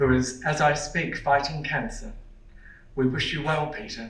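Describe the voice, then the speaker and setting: At a moderate pace, someone speaks in an Australian accent with audible room echo. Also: man. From Australia, Melbourne (Port Melbourne). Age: 60s. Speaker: performer and lecturer. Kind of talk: lecture.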